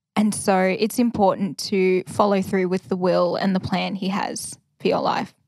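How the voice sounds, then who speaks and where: Over a very clean recording with a silent background, a woman with an Australian accent speaks at a moderate pace, medium pitch and fairly even intonation. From Australia, Victoria (Ballarat). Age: 20s. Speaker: first-year officer cadet. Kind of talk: casual interview. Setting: prayer room at a training college.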